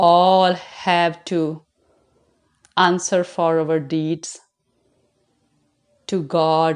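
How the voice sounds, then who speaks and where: A woman speaks in a fairly low pitch with monotone, flat intonation. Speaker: religious vlogger. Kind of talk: moral monologue.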